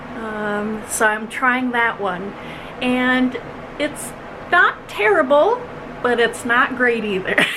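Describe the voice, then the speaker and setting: At a very slow pace with long, frequent pauses, a woman with an American accent speaks at a high pitch with ordinary pitch variation over noticeable background noise. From Minnesota. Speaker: cross-stitch vlogger and pattern designer. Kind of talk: casual vlog chat. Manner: frequent fillers, um and uh.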